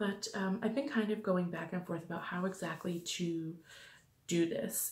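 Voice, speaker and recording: A quiet, somewhat breathy woman's voice at medium pitch, with fairly even intonation. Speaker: beauty vlogger. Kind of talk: casual product review vlog. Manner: quiet, hushed.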